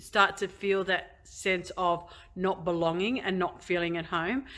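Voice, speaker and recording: With an Australian accent, a woman speaks at a medium pitch and a moderate pace in a very clean recording with a silent background. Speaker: convert sharing her story. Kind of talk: testimony. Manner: halting, many fillers.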